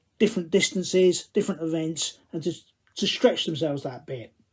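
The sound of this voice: The tone is dark and mellow, in a Cockney accent. Pitch variation is ordinary. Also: man. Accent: Cockney, London English.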